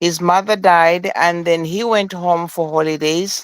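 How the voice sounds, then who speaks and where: This man speaks with an African accent at a high pitch. His pitch variation is ordinary and his pace is fairly slow. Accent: noticeable African. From Zambia. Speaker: caller. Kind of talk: phone question.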